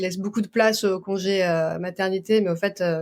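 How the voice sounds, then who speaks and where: A woman of medium pitch at a fairly quick pace. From France. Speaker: doula. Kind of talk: interview.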